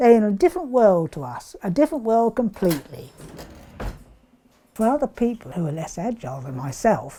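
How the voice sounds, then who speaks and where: In an English accent, a woman talks at a fairly quick pace with a medium pitch, very wide pitch swings and a dark, mellow tone. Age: 70s. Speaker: pensioner. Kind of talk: interview. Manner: halting.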